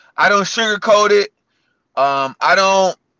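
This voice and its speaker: At a very slow pace, a man projects a raised voice with a bright, sharp tone and high pitch, the sound dry and close with no echo. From US Midwest (Cleveland, Ohio). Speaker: fitness coach and gym owner. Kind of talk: interview.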